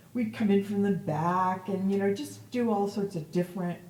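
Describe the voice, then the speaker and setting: Over noticeable background noise, a woman speaks with an American accent and fairly even intonation. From upstate New York, Verona. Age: 60s. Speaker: cantor. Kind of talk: oral history interview. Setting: synagogue.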